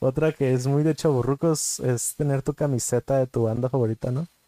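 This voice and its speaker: With a Mexican accent, a man speaks at a fairly quick pace in a dark, mellow tone, with fairly even intonation and a dry, close sound that has no echo. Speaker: podcast co-host. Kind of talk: casual chat.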